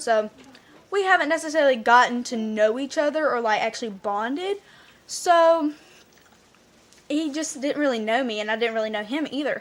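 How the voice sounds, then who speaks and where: A woman's high-pitched voice carries lively intonation. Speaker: vlogger. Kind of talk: storytelling vlog. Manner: fast.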